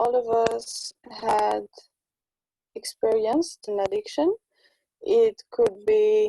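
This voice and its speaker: Very slowly, a woman speaks with a non-native accent. The sound is dry and close, with no echo. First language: not English. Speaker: spiritual conversation partner. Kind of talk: casual chat. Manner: halting.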